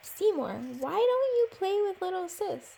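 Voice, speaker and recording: A woman uses a put-on character voice, squeaky and extremely high in pitch. Her pace is moderate. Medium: read story.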